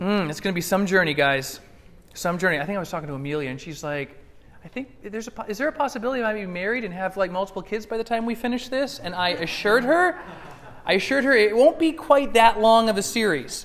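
The speech moves at a very fast pace with very wide pitch swings. Light background noise runs underneath. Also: man. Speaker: preacher. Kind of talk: sermon. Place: church.

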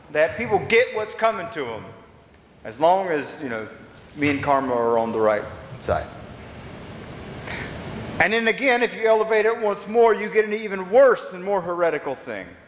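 Over light background noise, a man talks at a moderate pace with very wide pitch swings, big swings in loudness, and long, frequent pauses. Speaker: pastor. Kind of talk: sermon. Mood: wry, conversational. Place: church. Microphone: camera far.

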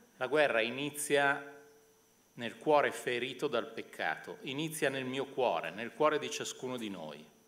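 A man's speech goes fairly slowly, its pitch varying in an ordinary way. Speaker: moderator and university professor. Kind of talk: moderated public event. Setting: stage with audience. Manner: halting. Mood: serious, reflective. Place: hall. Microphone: podium.

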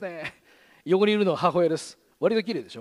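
With lively intonation, a man speaks at a high pitch. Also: quiet background. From Gunma, Japan; Japan. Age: 40s. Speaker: radio host. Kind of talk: presentation talk; public talk. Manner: fast. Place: stage. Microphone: headset.

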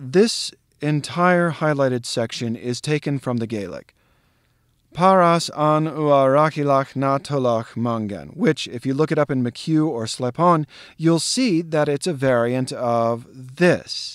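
A plain, everyday voice with an American accent moves at a fairly slow pace with ordinary pitch variation in a very clean recording with a silent background. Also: man, fairly high pitch for a man. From US Southwest. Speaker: actor and literature educator. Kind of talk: tutorial.

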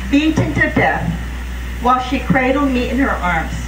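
With noticeable background noise present, a woman's speech moves at a moderate pace. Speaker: speaker. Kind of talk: memorial speech. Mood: solemn, emotional. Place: open country. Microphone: podium.

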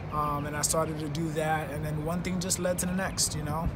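A man speaking at a fairly quick pace amid noticeable background noise. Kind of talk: interview answer. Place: stadium. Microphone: phone near.

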